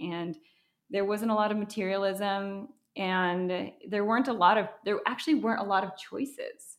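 A woman with an American accent speaks at a fairly slow pace in a normal speaking voice. Her pitch sits in the medium range, and her intonation stays fairly even. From Wisconsin, US Midwest. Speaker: business founder. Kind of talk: interview.

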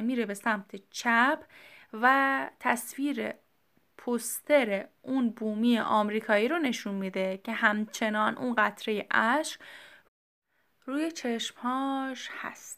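A woman speaks very slowly with long, frequent pauses, her fairly high voice showing ordinary pitch variation over a very clean recording with a silent background. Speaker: podcast host. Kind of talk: solo educational talk.

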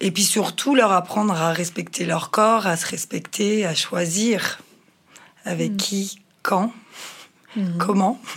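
There is noticeable background noise behind a woman speaking at medium pitch with fairly even intonation. She talks at a very slow pace with long, frequent pauses. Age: 40s. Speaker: mother of teenagers. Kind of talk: consultation interview.

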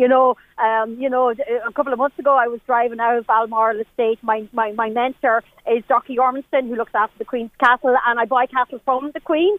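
Her voice is high and carries an Irish Midlands accent. The woman talks at a fairly quick pace. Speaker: cattle breeder. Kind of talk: casual chat. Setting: outdoors. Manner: animated.

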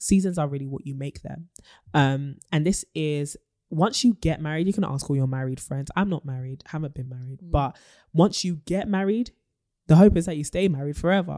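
A woman with a very deep, low pitch and a dark, mellow tone talks at a fairly quick pace, with ordinary pitch variation and big swings in loudness. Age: 20s. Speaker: podcast co-host. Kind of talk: casual chat. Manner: animated.

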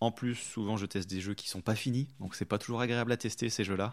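On a very clean recording with a silent background, a plain, everyday voice, fairly even in intonation and moderate in pace. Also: man. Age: 20s. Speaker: video game user researcher. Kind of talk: interview.

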